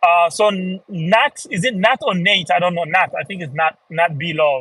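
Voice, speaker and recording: Here a man speaks with a high pitch and ordinary pitch variation. His tone is bright and sharp. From Niger. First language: Fulfulde. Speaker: language teacher. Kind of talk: live stream talk. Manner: casual, with many fillers.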